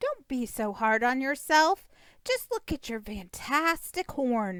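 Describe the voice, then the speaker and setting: A woman puts on a character voice pitched high. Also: fairly slow pace, very clean recording, silent background. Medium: read story. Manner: excitable, exaggerated.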